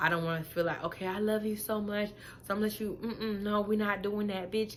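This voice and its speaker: There is audible room echo as a woman speaks at medium pitch and a fairly quick pace with fairly even intonation. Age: 20s. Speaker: vlogger. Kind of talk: casual monologue to camera. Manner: monotone.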